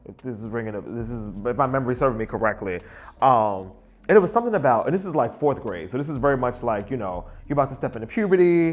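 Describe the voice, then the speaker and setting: In a very clean recording with a silent background, a man at a medium pitch speaks at a very fast pace with lively intonation and big swings in loudness. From Brooklyn, New York. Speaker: interviewee. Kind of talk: interview. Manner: casual, candid.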